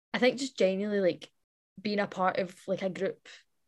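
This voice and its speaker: Woman with an ordinary speaking voice, medium pitch and moderate pace. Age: young. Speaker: youth activist. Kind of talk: recorded interview clip.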